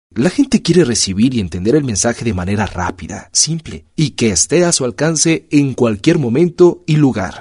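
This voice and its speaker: A man's medium-pitched voice makes very wide pitch swings and carries vocal fry. The sound is dry and close with no echo against a quiet background. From Mexico. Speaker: voice-over artist. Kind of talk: scripted narration. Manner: formal.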